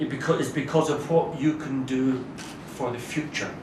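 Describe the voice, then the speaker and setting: A man with a Scottish accent speaks at a fairly high pitch. Noticeable background noise and audible room echo surround his voice. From Scotland. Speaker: diplomat. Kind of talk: formal speech. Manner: formal.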